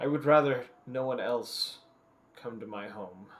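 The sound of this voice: A put-on character voice at a fairly slow pace. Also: man, medium pitch for a man.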